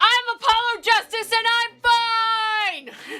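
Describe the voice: In a put-on character voice pitched extremely high, the speaker drawls very slowly with monotone, flat intonation.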